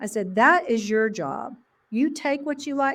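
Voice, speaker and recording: The speaker has an Oklahoma accent and an animated tone with lively intonation. The pace is moderate and the background quiet. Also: woman. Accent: Oklahoma Southern US. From Oklahoma, US. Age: 60s. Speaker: elementary school principal. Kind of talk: interview conversation.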